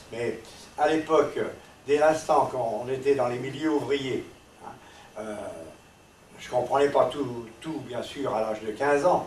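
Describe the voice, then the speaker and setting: With audible room echo and noticeable background noise, a man talks at a very slow pace and a fairly high pitch, with fairly even intonation, big swings in loudness and long, frequent pauses. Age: 80s. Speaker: resistance veteran. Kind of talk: testimony. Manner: halting.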